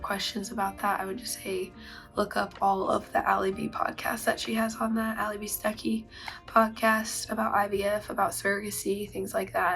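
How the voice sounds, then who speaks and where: A woman's voice at a moderate pace, with music in the background. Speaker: vlogger. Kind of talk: casual talk to camera.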